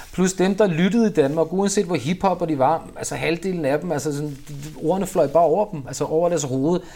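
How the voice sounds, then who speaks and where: A man with a normal speaking voice and a fairly high pitch keeps a moderate pace, his pitch varying in an ordinary way. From Copenhagen, Denmark. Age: 40s. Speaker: rapper. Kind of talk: interview. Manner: casual, filler-heavy.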